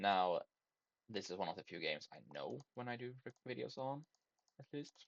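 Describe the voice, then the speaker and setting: The speaker, with a non-native accent, leaves long, frequent pauses. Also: moderate pace. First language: not English. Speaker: gaming YouTuber. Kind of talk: gameplay commentary. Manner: halting, many fillers and self-corrections.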